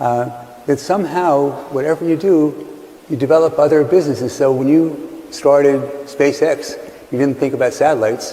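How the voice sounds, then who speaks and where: A man with fairly even intonation against noticeable background noise. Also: fairly high pitch for a man, moderate pace. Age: 70s. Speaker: investor and interviewer. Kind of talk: interview.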